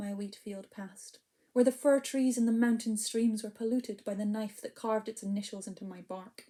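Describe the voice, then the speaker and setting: A woman with a strong Scottish accent speaks fairly quickly in a dark, mellow tone at a fairly high pitch, her intonation fairly even but her loudness swinging widely. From Scotland. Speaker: poet and storyteller. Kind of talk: spoken word poetry performance. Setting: online video event. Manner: hesitant, filler-heavy between poems.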